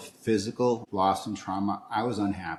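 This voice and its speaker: A man with a plain, everyday voice speaks at a moderate pace. His pitch is fairly low and his intonation fairly even. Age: 60s. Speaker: interview guest. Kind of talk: casual interview.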